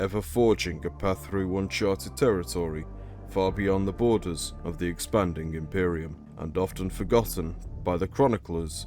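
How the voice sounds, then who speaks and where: Music plays in the background as a man with a British accent talks at a moderate pace, his very deep, low voice marked by lively intonation. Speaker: lore video narrator. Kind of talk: educational lore narration.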